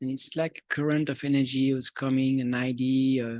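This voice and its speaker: Fairly high in pitch and monotone, flat in intonation, a man speaks with a Swiss French accent at a moderate pace, sounding dry and close with no echo. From Switzerland. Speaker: musician and video producer. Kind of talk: audience Q&A. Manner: halting.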